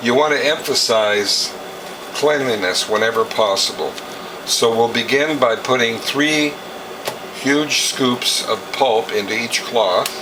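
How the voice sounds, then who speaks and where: Over noticeable background noise and audible room echo, a man speaks fairly slowly at a medium pitch, with ordinary pitch variation and very even loudness. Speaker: juicer demonstrator, juicer service business owner. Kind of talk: tutorial.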